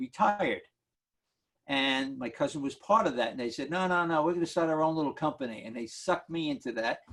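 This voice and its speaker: This man speaks with a New York accent. His pitch is fairly high and his pace fairly quick. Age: 70s. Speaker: market analyst. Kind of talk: Q&A on a video call. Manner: animated.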